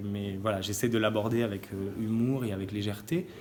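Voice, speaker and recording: Fairly quick male speech, fairly low in pitch, with ordinary pitch variation. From southern France, near Nîmes. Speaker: actor and playwright. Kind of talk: interview. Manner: halting, with many fillers and repetitions.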